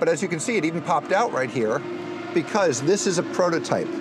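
A man's voice over noticeable background noise. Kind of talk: explanatory demo talk. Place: car. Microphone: camera far.

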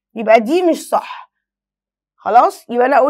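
Over a quiet background, a woman speaks with very wide pitch swings. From Egypt. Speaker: French teacher. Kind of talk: lesson. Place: studio.

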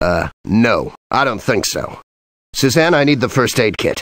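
A man's put-on character voice at medium pitch and moderate pace. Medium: video game. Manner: terse, commanding.

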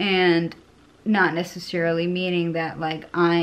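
The woman talks at a fairly slow pace, her pitch fairly low. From Connecticut. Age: 30s. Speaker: vlogger. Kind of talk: casual monologue vlog. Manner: rambling, hesitant with fillers. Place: home room. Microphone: phone near.

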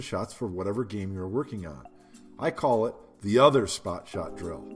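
A man at a moderate pace, with music in the background. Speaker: pool instructor. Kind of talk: tutorial.

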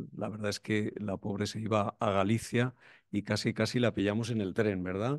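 A man with a fairly low pitch speaks at a moderate pace with fairly even intonation. The background is quiet and the sound dry with no echo. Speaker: event moderator. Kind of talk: event moderation. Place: hall. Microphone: podium.

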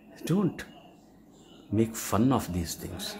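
A man at a moderate pace, with noticeable background noise. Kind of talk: casual selfie video statement. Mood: annoyed, indignant. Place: home room. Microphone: phone near.

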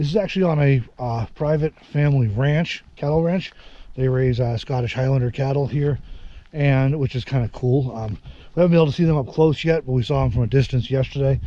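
The sound is dry with no echo as a man talks in a dark, mellow tone. He moves at a fairly quick pace with ordinary pitch variation. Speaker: travel vlogger. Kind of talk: casual vlog chat. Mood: relaxed, cheerful. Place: forest. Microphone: phone near.

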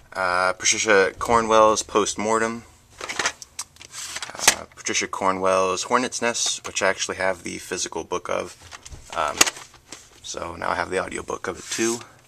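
A man pauses long and often at a moderate pace, with noticeable noise in the background. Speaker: book vlogger. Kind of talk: casual vlog chat. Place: home room. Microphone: phone near.

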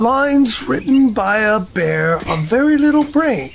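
A man in a put-on character voice at an extremely high pitch and a fairly slow pace, with clear background noise. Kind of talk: audio drama performance.

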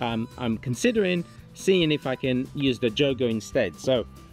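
Faint music plays behind a man heard in a dry sound with no echo. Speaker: product reviewer. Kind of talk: casual review vlog chat. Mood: relaxed and upbeat. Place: garden.

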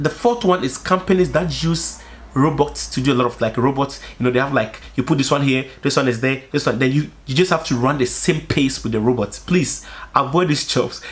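Full of vocal fry, a man speaks in an animated tone at a fairly quick pace. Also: ordinary pitch variation. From Africa. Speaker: YouTuber. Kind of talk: casual monologue vlog. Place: home room.

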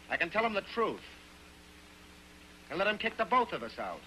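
A man puts on a character voice with a high pitch. His tone is bright and sharp, with big pitch swings. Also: moderate pace.

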